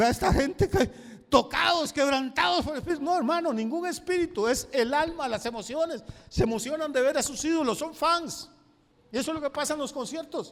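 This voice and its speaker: Speaking at a fairly quick pace, a man with a Costa Rican accent has an extremely high pitch and ordinary pitch variation. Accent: Costa Rican, noticeable. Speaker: pastor. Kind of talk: sermon.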